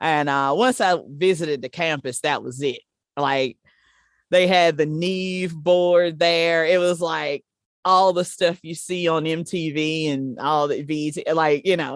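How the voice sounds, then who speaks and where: On a very clean recording with a silent background, a woman with a South Carolina accent speaks at a fairly slow pace and a fairly low pitch, with ordinary pitch variation. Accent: Southern US (South Carolina). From US South, small-town South Carolina. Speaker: live sound engineer. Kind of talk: interview. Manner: casual, conversational.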